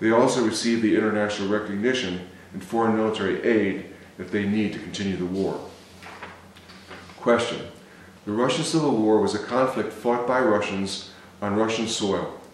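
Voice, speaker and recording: A man with an American accent talks at a fairly quick pace and a fairly low pitch, with ordinary pitch variation, long, frequent pauses and audible room echo. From US Midwest, Cleveland, Ohio; Ohio. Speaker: novelist. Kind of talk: reading aloud. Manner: halting. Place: home room.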